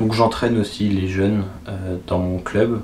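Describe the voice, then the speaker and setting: Noticeable background noise and audible room echo accompany a man speaking at a moderate pace in a fairly low pitch. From France, Vienne area (Poitou). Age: 20s. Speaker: archer and student. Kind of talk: self-interview answering written questions. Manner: hesitant, with fillers and repetitions.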